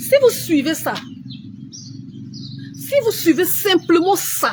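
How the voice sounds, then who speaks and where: Over noticeable background noise, a woman speaks very slowly at an extremely high pitch, her pitch swinging very widely. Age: 40s. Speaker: beauty influencer. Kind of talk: live stream tutorial. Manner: slow with pauses.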